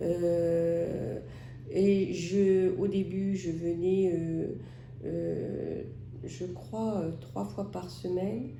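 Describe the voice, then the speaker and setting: A woman talks very slowly, and audible room echo is present. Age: 60s. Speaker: patient with COPD. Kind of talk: testimony. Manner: hesitant, many filler sounds.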